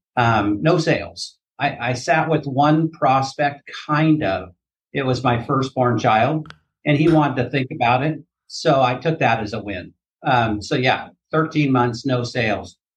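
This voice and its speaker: The speech moves at a fairly slow pace with ordinary pitch variation. The voice is somewhat breathy. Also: man, medium pitch for a man. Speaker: annuity insurance agent. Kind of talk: podcast interview.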